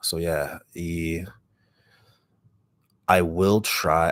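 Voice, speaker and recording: A raspy voice on a very clean recording with a silent background. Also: man. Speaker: ASMR creator. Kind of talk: casual livestream chat.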